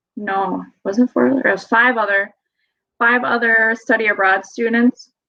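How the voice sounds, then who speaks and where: Speaking at a fairly slow pace, a woman with a Wisconsin accent keeps her intonation fairly even. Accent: Wisconsin accent, moderate. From Wisconsin, US Midwest. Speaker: study abroad traveler, hunter. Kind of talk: podcast interview.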